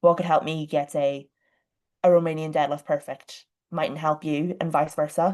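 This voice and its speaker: A woman with an Irish accent, very deep, low pitch, fairly even intonation and a fairly quick pace. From Ireland. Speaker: online fitness coach. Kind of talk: podcast interview. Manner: talkative, fast.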